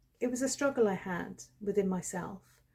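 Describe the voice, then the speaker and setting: A woman speaks at medium pitch in a dark, mellow tone with vocal fry. Her intonation stays fairly even. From England, Shropshire. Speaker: storyteller, channel founder. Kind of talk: personal storytelling.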